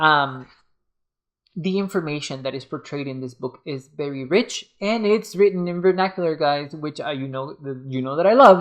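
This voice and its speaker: With a non-native accent, a man speaks at a moderate pace in a fairly high voice. His pitch variation is ordinary, and his loudness swings widely. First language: not English. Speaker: book reviewer and tarot reader. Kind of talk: casual review video. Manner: halting, many fillers.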